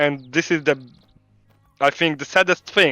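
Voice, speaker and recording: A man talks with a Polish accent. The sound is dry and close with no echo, and music plays in the background. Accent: Polish accent, non-native English. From Poland. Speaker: game studio CEO. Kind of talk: interview. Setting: live stream call from home. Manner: halting, many fillers.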